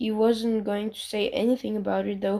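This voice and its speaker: Fairly even intonation carries a tone that is dark and mellow. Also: woman. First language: not English. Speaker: fanfiction reader. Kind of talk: reading aloud. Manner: halting, frequent self-corrections.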